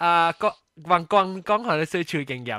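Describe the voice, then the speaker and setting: A man's raised, projected voice, bright and sharp in tone, with a dry, close sound and no echo. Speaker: podcast host. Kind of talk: casual chat. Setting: video call.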